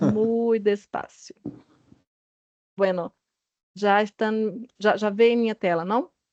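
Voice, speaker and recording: Speaking at a very slow pace, a woman has a fairly high pitch. Her intonation stays fairly even. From Brazil. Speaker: health regulatory agency director. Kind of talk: panel presentation. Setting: video call. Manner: halting.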